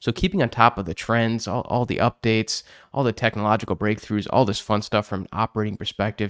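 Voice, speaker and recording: A man with a slight Chicago accent talks at a fairly quick pace in a fairly low voice with ordinary pitch variation, the dry, close sound having no echo on a very clean recording with a silent background. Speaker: podcast host, accounting industry speaker. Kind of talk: casual podcast chat.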